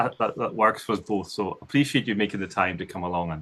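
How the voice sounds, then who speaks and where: A man with a Scottish accent talks very fast. Background noise is noticeable. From northern Scotland. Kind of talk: casual interview.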